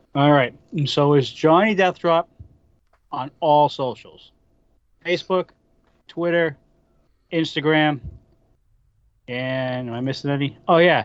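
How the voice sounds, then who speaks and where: Speaking fairly slowly with long, frequent pauses, a man with a Boston accent has a fairly high pitch and ordinary pitch variation. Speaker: wrestling podcaster. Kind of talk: casual chat.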